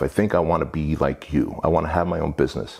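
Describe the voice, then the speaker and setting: A man's lively intonation at a fairly quick pace. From Armenia. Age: 40s. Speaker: entrepreneur. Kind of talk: casual interview.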